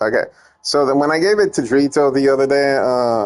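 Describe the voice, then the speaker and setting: Someone speaks with a Spanish accent. The pace is moderate. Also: man. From Puerto Rico. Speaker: gaming streamer and ROM hacker. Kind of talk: casual gameplay stream chat. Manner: halting, many fillers and restarts.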